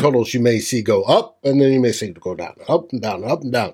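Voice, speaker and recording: At a moderate pace, a man with an ordinary speaking voice talks at a medium pitch with lively intonation. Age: middle-aged. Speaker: sports podcast host. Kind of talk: casual chat.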